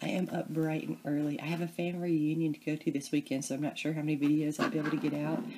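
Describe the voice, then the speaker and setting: Over noticeable background noise, a soft-spoken woman with a Southern US accent talks very fast with hardly any pauses, her very deep, low voice keeping fairly even intonation. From US South, Memphis, Tennessee area. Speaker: crafting video creator. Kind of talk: crafting tutorial. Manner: casual, chatty.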